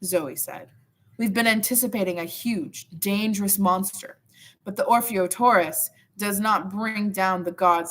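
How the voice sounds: The speaker uses a natural reading voice. It is heard throughout the clip.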